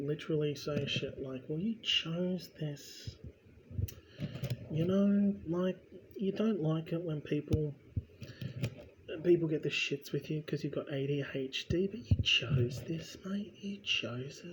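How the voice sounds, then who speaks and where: A man with a New Zealand accent talks at a fairly slow pace. His pitch is fairly high, with ordinary variation. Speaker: vlogger. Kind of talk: casual ramble while building. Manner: rambling, conversational.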